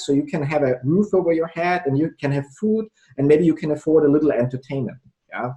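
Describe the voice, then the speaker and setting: A man speaks with a non-native accent. His tone is dark and mellow, with ordinary pitch variation. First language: not English. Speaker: entrepreneur and sales trainer. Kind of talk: casual interview.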